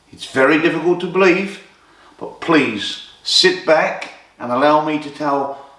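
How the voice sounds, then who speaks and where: A man at a very slow pace, with audible room echo. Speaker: boxing storyteller. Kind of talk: storytelling narration. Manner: animated.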